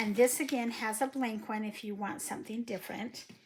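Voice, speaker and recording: Through noticeable background noise, a woman speaks at a moderate pace with a fairly high pitch and ordinary pitch variation. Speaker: papercraft tutorial creator. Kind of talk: tutorial.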